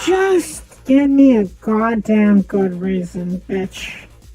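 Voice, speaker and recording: A put-on character voice, female-sounding and raspy, at a medium pitch and a very slow pace. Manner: confrontational.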